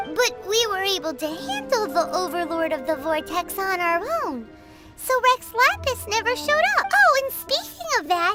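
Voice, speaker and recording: A put-on character voice at an extremely high pitch speaks at a moderate pace over loud music in the background. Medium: game stream. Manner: bubbly, fast, chatty.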